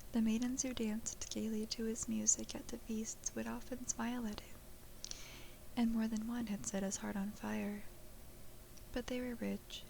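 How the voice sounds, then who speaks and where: Soft-spoken delivery at a moderate pace, with noticeable background noise. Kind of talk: bedtime folklore story reading.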